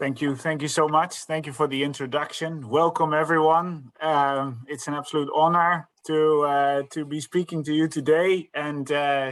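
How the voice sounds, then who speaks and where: A man in a Dutch accent, fairly high in pitch, at a moderate pace with monotone, flat intonation and hardly any pauses. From Netherlands. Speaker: sales director. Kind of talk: presentation. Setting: live online event. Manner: halting, many fillers.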